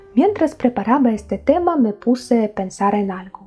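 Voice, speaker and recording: This woman has a dark, mellow, somewhat breathy tone and a non-native accent, talking at a moderate pace with ordinary pitch variation. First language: not Spanish (speaking Spanish). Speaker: YouTube history presenter. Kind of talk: documentary narration to camera.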